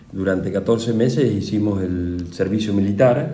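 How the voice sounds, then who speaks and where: Audible room echo hangs around the speech. Its intonation is fairly even. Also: man. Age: 60s. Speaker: war veteran. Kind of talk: interview. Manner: halting.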